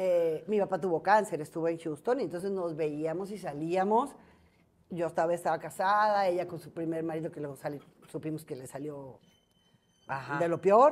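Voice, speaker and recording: A woman with a fairly low pitch speaks with big swings in loudness. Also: ordinary pitch variation, moderate pace. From Mexico, Guadalajara; Jalisco, Mexico. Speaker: entertainment journalist. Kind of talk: casual interview chat. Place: cafe. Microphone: lapel.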